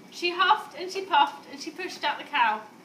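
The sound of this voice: A woman speaks at an extremely high pitch with a fairly bright tone and lively intonation. Her moderate pace carries audible room echo.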